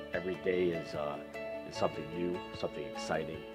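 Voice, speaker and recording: A man talking at a very fast pace over clear music in the background. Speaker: auctioneer and business owner. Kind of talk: promotional talk to camera about his auction business. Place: shop. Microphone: lapel.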